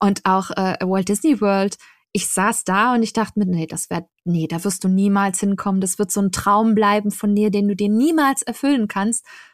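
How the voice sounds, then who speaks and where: Recorded very cleanly with a silent background and a dry, close sound with no echo, a woman in a normal speaking voice talks at a moderate pace and medium pitch with ordinary pitch variation. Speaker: travel blogger and podcaster. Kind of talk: casual chat.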